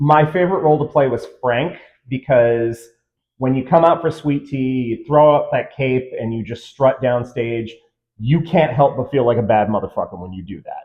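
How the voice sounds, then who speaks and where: A man with an ordinary speaking voice talks at a moderate pace. His loudness swings widely. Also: medium pitch for a man, ordinary pitch variation. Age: 40s. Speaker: former shadowcast performer. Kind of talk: interview.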